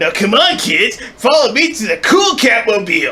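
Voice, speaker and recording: A man's put-on character voice at an extremely high pitch, delivered at a moderate pace. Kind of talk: kids' show host. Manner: cool, breezy.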